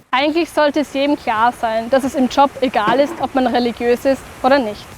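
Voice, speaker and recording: Over noticeable background noise, a woman speaks at a fairly quick pace in a high-pitched voice. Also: fairly even intonation. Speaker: narrator. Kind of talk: educational explainer narration.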